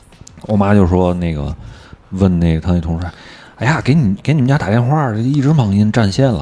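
Music plays in the background as a man with fairly low pitch talks. His pitch swings are very wide. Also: moderate pace. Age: middle-aged. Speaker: podcast host of a partner show. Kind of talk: casual chat.

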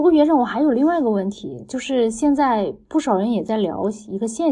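A woman's normal speaking voice, fairly quick, with ordinary pitch variation. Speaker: podcast host, former tech team lead. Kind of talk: interview.

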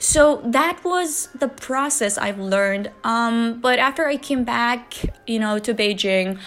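A woman speaks very slowly in a high voice. She has a Chinese accent. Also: lively intonation. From China, Wuhan, Hubei. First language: Mandarin Chinese. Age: 30s. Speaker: podcast host. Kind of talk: casual monologue.

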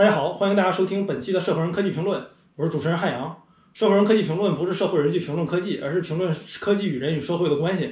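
At a very fast pace, a man speaks in a high pitch with ordinary pitch variation. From Northeast China, Changchun. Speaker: tech startup CEO and podcaster. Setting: recording over a meal.

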